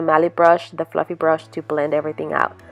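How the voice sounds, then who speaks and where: A woman is heard over music in the background. Her sound is dry and close, with no echo. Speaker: beauty vlogger. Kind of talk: makeup tutorial narration.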